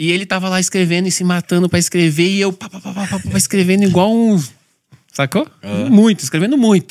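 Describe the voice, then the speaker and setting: This man's voice is high-pitched for a man, with ordinary pitch variation. He talks fairly quickly against a quiet background. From São Paulo periphery, Brazil; São Paulo, Brazil. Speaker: pastor. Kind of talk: casual chat. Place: studio. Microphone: studio mic.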